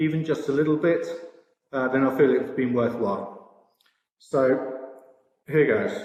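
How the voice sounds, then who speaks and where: With a British accent and a fairly high pitch, a man speaks at a moderate pace amid audible room echo. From Britain. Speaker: sportsbook products director. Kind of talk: conference presentation. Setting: virtual expo presentation. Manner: hesitant, many fillers.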